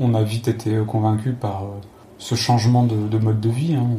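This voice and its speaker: A man speaks in a flat monotone, with audible room echo and noticeable background noise. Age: 30s. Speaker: former pharmacist, traveler. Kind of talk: interview. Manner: halting, repeats words.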